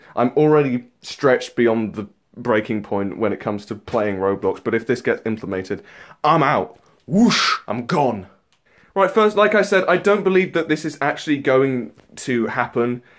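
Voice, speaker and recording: A man with a British accent speaks with very wide pitch swings. The recording is very clean, with a silent background. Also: medium pitch for a man, moderate pace. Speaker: YouTuber. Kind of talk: rant. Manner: animated; stumbling over words.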